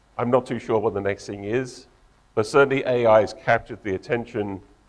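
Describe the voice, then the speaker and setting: A man talks at a medium pitch with an English accent. His intonation is fairly even. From England. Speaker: tech company co-founder and engineer. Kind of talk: conference talk.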